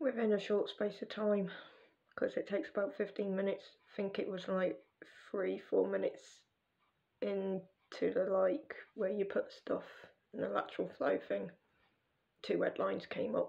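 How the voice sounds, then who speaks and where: A quiet woman with an English accent speaks at a moderate pace. Long, frequent pauses break up her speech. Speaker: vlogger. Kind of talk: casual vlog monologue.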